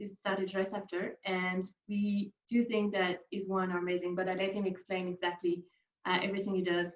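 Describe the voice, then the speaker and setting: Fairly quick and monotone, a woman speaks with flat intonation at a medium pitch. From Bordeaux, France. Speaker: wine retail manager. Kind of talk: online wine masterclass. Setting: video call.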